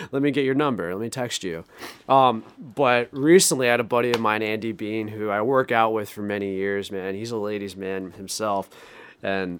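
A man at a moderate pace, fairly low-pitched, with ordinary pitch variation. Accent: Rhode Island. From Rhode Island. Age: 20s. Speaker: sales manager. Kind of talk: casual chat.

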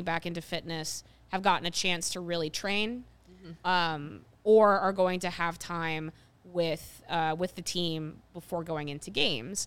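An unremarkable speaking voice at a moderate pace, on a very clean recording with a silent background. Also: woman. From Ohio. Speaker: sports podcast host. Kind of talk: casual chat.

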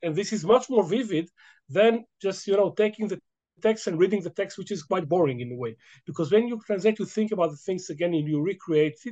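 A man with an Israeli accent speaks fairly quickly in a high pitch, his tone dark and mellow and his intonation lively. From Israel, Jerusalem. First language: Hebrew. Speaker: history professor. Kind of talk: interview. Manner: halting.

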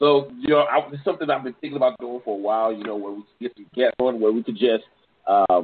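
Speaking fast at a medium pitch, a man keeps his intonation fairly even, his voice carrying a slightly husky edge.

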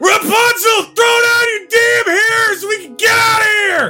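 Shouting in a put-on character voice at an extremely high pitch, the speaker goes at a fairly slow pace over loud background noise. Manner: loud, angry yelling.

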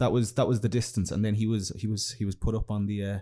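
A man's fairly low, somewhat breathy voice with a dark, mellow tone, delivered at a very fast pace on a very clean recording with a silent background. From Ireland. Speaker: podcast co-host guest. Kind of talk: storytelling, casual chat. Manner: easygoing, narrating.

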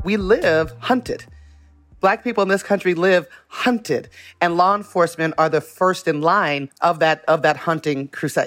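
A woman with an American accent, fairly low-pitched, at a moderate pace with ordinary pitch variation and very even loudness, music in the background. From US West, Las Vegas, Nevada. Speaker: community organizer and activist. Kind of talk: interview.

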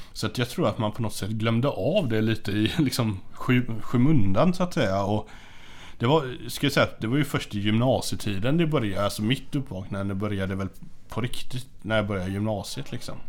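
A man with a plain, everyday voice talks at a fairly quick pace, with medium pitch and ordinary pitch variation. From western Sweden (Hindås, near Gothenburg). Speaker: teacher and death metal musician. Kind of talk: casual chat.

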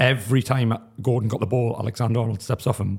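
A man speaks at a medium pitch with a somewhat breathy voice. His intonation stays fairly even. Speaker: football pundit panellist. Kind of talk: casual football analysis.

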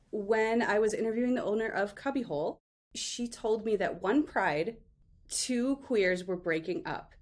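A woman with an ordinary speaking voice talks at a moderate pace with lively intonation. Her pitch is fairly high. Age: 40s. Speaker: author. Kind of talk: casual interview chat.

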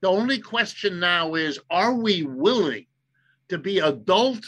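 With an American accent, a man speaks at a very slow pace in a raised, projected voice, his tone bright and sharp, his pitch high, and his pitch swings very wide. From US Midwest, Ohio. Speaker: economist. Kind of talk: interview.

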